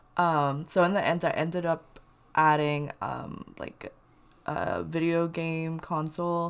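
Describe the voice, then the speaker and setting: Very slow, fairly low-pitched speech from a woman, monotone and flat, on a very clean recording with a silent background. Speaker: Sims speed build commentator. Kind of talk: casual voice-over commentary. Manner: casual, many filler words.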